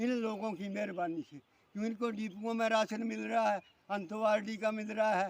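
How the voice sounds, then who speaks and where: A man speaks with a high pitch. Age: 70s. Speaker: farmer. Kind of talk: angry public complaint to camera. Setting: outdoors in a field. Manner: animated.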